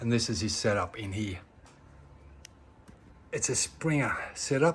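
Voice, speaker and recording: A medium-pitched man speaks at a fairly slow pace. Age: 60s. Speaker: motorcycle rider. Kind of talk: casual product recommendation to camera.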